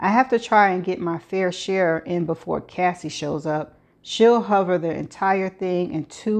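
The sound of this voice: In an unforced reading voice, the pitch shows ordinary variation.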